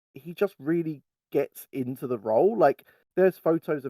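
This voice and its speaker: A man with a British accent, dark, mellow tone, ordinary pitch variation and moderate pace, in a dry, close sound with no echo. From England. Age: 30s. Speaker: fan site writer. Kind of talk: casual chat.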